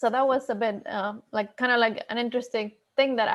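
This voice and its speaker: Pitched fairly high, a woman speaks with a Spanish accent and monotone, flat intonation. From Ecuador. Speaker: HPC researcher at a national lab. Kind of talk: panel discussion.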